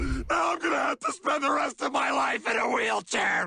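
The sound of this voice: A man's cartoonish character voice at a moderate pace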